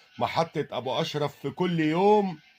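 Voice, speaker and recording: Over music in the background, a man talks at a very slow pace. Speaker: poet. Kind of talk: poetry reading. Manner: emotional, sorrowful.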